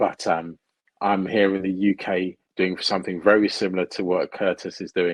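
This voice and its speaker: A man with a British accent, a very deep, low pitch and monotone, flat intonation, at a moderate pace, in a dry, close sound with no echo against a quiet background. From United Kingdom. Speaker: procurement consultant. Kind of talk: interview.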